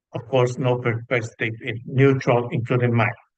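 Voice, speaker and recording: At a moderate pace, a man of medium pitch speaks in a somewhat breathy, monotone, flat voice. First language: Spanish. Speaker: psychologist, panel speaker. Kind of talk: panel discussion talk from notes. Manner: halting, many fillers.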